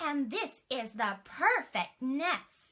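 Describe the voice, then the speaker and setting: A woman puts on a character voice. Her pitch is high. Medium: read story.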